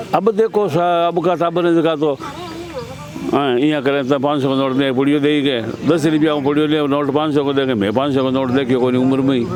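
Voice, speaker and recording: Noticeable background noise and audible room echo surround a man with a fairly high pitch. His loudness stays very even, and his pitch varies in an ordinary way. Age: 70s. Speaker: villager. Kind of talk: street interview.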